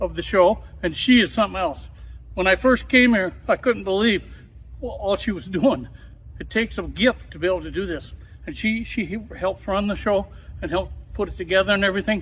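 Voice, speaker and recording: Loudness swings widely as the speaker moves at a fairly quick pace. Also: man. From Wisconsin, US Midwest. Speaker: talk show host. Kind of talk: casual interview chat.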